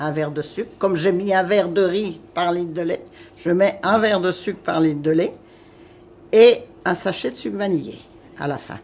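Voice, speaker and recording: A woman with a fairly low pitch and ordinary pitch variation speaks at a moderate pace, leaving long, frequent pauses. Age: 60s. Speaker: home cook. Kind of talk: cooking tutorial.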